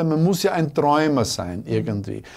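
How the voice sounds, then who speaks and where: Over a quiet background, a man with a dark, mellow tone speaks at a moderate pace. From Austria, southeastern Styria. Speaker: schlager bandleader; guest. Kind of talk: interview. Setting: studio. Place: studio.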